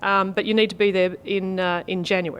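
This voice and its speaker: A woman with an Australian accent. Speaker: federal member of parliament, interview guest. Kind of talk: interview answer.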